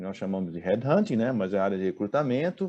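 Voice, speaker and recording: Against a quiet background, the voice carries a dark, mellow tone with lively intonation. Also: man. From Brazil, Recife (Pernambuco). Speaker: executive recruiter. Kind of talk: talk to business audience. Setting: online event. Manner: hesitant, with fillers.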